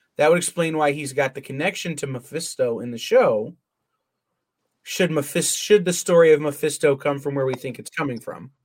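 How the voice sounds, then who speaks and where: A man speaks with ordinary pitch variation and big swings in loudness. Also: fairly quick pace. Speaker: podcast host. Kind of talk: casual chat.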